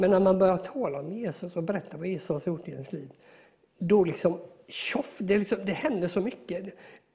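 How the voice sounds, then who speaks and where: A man speaks in a high pitch with a dark, mellow tone. His pitch varies in an ordinary way. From Sweden, moved around as child. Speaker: electrician and piano tuner. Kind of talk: interview testimony.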